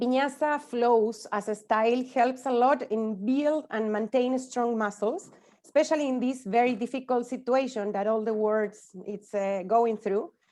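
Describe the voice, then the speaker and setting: A woman with a Spanish accent, high in pitch yet dark and mellow in tone, with ordinary pitch variation at a moderate pace. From Spanish-speaking country. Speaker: yoga teacher. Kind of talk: conference talk. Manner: halting.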